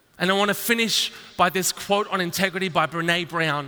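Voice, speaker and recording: High male pitch with ordinary variation, delivered at a moderate pace by a man. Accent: Australian. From Australia. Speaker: entrepreneur. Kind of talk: keynote speech. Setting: stage with audience.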